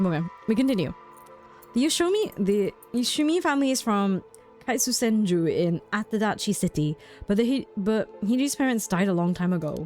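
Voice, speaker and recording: At a moderate pace the voice carries on while music sounds in the background. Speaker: streamer. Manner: casual, chatty.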